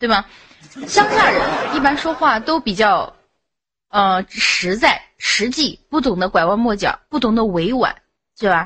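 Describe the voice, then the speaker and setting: Speaking at a fairly slow pace, a woman moves through very wide pitch swings. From Xinjiang, China (Han Chinese). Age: 20s. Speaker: voice chat room caller. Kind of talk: casual chat.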